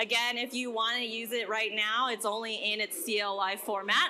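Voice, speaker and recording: A woman talks while noticeable background noise carries on around her. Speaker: developer advocate giving a workshop. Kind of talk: conference workshop talk. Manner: fast.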